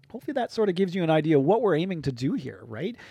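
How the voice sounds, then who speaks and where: Against a quiet background, a man with an Ontario accent talks in a dark, mellow tone. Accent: Canadian (Ontario). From southwestern Ontario, Canada. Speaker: podcast host, recreation program lead. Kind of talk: casual unscripted podcast talk. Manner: off the cuff, with fillers and repetitions.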